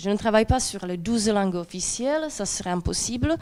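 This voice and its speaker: A woman speaks with a Czech accent at a fairly slow pace. Her pitch variation is ordinary. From Czech lands. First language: Czech (speaking French). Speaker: doctoral researcher. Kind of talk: academic conference talk. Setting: presentation with slides to audience. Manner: hesitant, many fillers.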